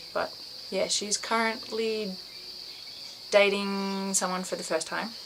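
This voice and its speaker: A woman speaks at a medium pitch with an Australian accent. Her pace is moderate, with noticeable background noise behind her. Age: 20s. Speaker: vlogger. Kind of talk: casual vlog monologue. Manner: halting, many fillers; rambling.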